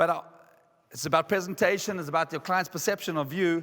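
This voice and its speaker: Speaking at a fairly quick pace, a man uses a high pitch and an animated tone. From South Africa. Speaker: motivational speaker. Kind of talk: conference keynote. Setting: stage with audience.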